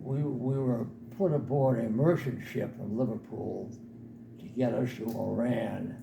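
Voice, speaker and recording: A man's fairly slow speech amid noticeable background noise and audible room echo. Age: 80s+. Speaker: war veteran. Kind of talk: talk to an audience. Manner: halting.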